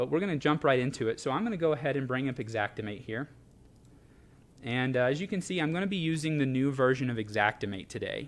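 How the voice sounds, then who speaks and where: Talking at a very fast pace, a man with a fairly high pitch uses lively intonation. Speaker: product trainer. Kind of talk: live product demo. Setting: live social media broadcast. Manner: hesitant, many fillers.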